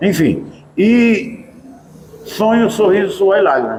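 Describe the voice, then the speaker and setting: The man's voice is high in pitch. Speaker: TV presenter. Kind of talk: interview talk.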